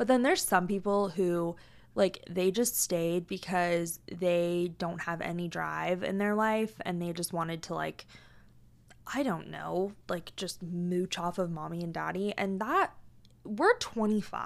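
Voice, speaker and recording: A woman with an American accent speaks in an animated tone at a fairly slow pace and fairly low pitch. The recording is very clean, with a silent background. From US Pacific Northwest, Tacoma, Washington. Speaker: podcast host. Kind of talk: casual monologue.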